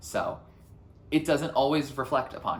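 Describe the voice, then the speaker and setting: A man talks at a fairly quick pace. Audible room echo surrounds his voice. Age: 20s. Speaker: youtuber. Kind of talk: personal vlog reflection. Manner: loud; energetic.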